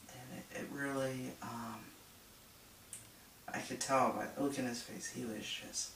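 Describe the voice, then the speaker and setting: Very slow speech from a man, with noticeable background noise behind it. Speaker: social worker. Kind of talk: casual talk to camera. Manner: hesitant, many filler words.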